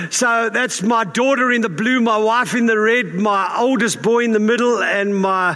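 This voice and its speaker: Projecting a raised voice at a moderate pace, a man speaks with extremely high pitch and fairly even intonation. His loudness stays very even over noticeable background noise. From South Africa. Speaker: pastor. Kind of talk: sermon. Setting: church. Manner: informal, humorous.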